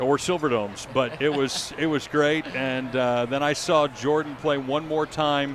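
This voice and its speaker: A man's fairly high voice at a fairly slow pace, fairly even in intonation, with noticeable background noise. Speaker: public address announcer for pro basketball and football teams. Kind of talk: interview answer.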